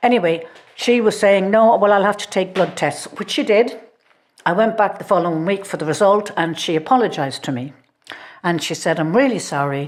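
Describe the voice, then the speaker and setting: A woman with an Irish accent talks at a fairly quick clip in a medium-pitched voice. Her intonation is lively. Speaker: podcast co-host. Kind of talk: casual chat.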